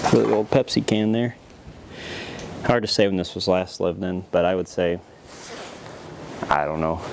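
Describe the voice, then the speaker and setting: Against noticeable background noise, a man with a very deep, low voice speaks with lively intonation and long, frequent pauses. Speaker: urban explorer vlogger. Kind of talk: walkthrough vlog narration. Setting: outdoors and inside abandoned farm buildings. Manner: casual, somewhat fast.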